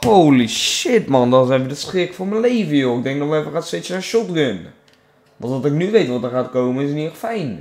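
Talking at a fairly quick pace, a man uses a fairly high voice with very wide pitch swings. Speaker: gaming YouTuber. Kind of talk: casual gameplay commentary. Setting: home recording, gameplay video. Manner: animated.

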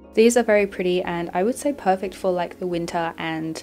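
A woman's voice with ordinary pitch variation, music in the background. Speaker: nail product reviewer. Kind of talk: product review narration.

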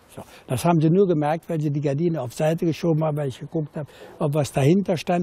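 At a fairly quick pace, the speech carries a dark, mellow tone. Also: man. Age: 70s. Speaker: former burglar. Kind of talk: interview answer. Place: garden.

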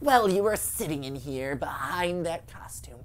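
Clear background noise accompanies someone performing a put-on character voice. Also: man. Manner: menacing, taunting.

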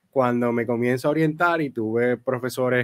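The man's voice sits at a medium pitch and varies in pitch in an ordinary way. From Puerto Rico, San Germán; Puerto Rico. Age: 20s. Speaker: theology student and church worker; podcast guest. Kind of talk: interview answers. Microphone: studio mic.

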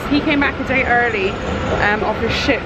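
Loud background noise around a female voice. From Scotland. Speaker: family vlogger. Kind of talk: casual talk to camera. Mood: subdued, slightly somber. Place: station. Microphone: phone near.

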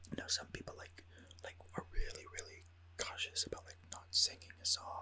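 Someone is whispering at a moderate pace. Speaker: gamer ASMR creator. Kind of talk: casual gaming voiceover commentary, whispered ASMR style. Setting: recorded with a studio USB microphone. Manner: whispered, soft-spoken.

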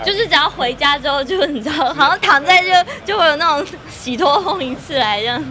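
A woman speaks in a raised, projected voice, high in pitch and with lively intonation, over light background noise. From Taiwan. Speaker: actress. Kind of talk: interview answer. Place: shop. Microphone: handheld.

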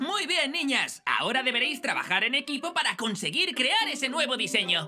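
A woman does a cartoonish character voice, high-pitched, bright and sharp, with big pitch swings at a fairly quick pace over faint background noise.

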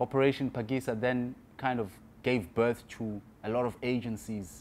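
A man speaks with fairly even intonation. His tone is slightly mellow.

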